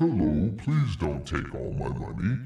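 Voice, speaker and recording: Putting on a character voice, a man talks at a moderate pace, his very deep, low pitch swinging very widely. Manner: pleading.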